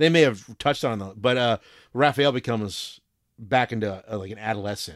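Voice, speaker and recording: Delivered at a fairly quick pace, a plain, everyday voice shows big swings in loudness and ordinary pitch variation on a very clean recording with a silent background. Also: man, medium pitch for a man. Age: 40s. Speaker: podcast host. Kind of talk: casual chat.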